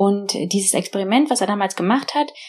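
Here a woman speaks at a medium pitch. She uses ordinary pitch variation. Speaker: tech founder and investor. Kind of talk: interview. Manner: hesitant, with fillers.

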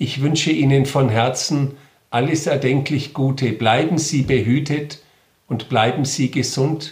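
Somewhat breathy, a man speaks at a fairly high pitch and a fairly slow pace with very even loudness. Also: fairly even intonation. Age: 50s. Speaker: Protestant regional bishop. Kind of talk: interview statement. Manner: formal.

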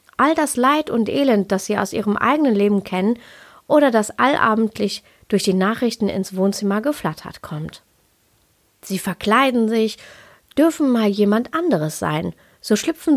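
Over a silent background in a very clean recording, a woman speaks at a fairly slow pace with a fairly high pitch, lively intonation, and long, frequent pauses. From Ruhr area, Germany. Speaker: yoga and Ayurveda podcaster. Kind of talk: podcast monologue. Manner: laughs often.

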